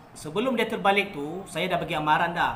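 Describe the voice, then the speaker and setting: A man speaks in a high voice over light background noise. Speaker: kayak fishing vlogger. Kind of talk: casual vlog chat. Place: home room. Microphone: phone near.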